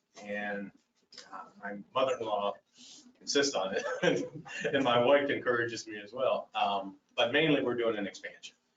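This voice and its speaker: This is a man speaking. His pace is fairly quick. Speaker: library board applicant. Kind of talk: public meeting testimony. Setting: county commission meeting. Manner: loud.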